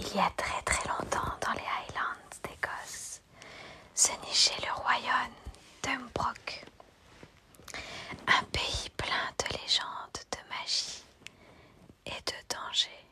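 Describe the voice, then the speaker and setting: The words come as whispers, very slow, broken by long, frequent pauses. Behind them is noticeable background noise. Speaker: ASMR streamer. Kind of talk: reading aloud. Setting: live stream. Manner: whispering.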